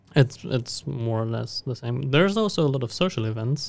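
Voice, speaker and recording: With a German accent, a man talks at a fairly quick pace. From Germany. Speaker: university student. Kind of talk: podcast interview. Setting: studio.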